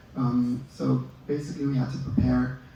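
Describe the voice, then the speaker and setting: Amid audible room echo, a man talks at a moderate pace and medium pitch with monotone, flat intonation. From Israel. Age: 20s. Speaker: dental student and army officer. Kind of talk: interview. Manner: hesitant, many fillers.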